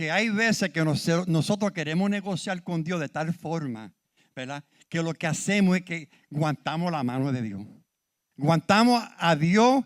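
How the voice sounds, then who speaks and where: A man's high voice with lively intonation at a fairly slow pace, on a very clean recording with a silent background and a dry, close sound without echo. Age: 70s. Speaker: preacher. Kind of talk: sermon. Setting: church.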